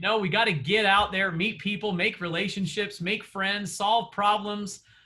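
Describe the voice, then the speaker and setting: Fairly even intonation from a man, pitched high. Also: moderate pace. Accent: Southern. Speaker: real estate coach. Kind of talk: coaching session. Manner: conversational, many fillers.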